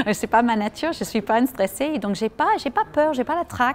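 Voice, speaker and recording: At a moderate pace, a woman with an American accent speaks in a fairly high pitch with lively intonation. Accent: American accent when speaking French. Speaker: journalist and master of ceremonies. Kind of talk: interview. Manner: spontaneous.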